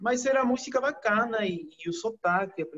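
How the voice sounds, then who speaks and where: A man speaks with a Peruvian accent. His intonation is lively and his pace moderate. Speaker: chemical engineer and teacher. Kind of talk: interview.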